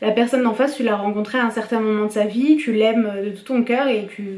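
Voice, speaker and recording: Speaking with fairly even intonation and a fairly high pitch, a woman uses a normal speaking voice. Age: 20s. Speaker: YouTuber film reviewer. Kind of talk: casual vlog review. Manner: casual, with many fillers.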